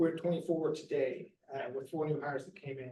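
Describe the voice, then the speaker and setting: With fairly even intonation, a man speaks at a fairly high pitch. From Missouri, Bootheel. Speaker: nonprofit refugee resettlement staffer. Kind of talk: presentation to church group. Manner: fast.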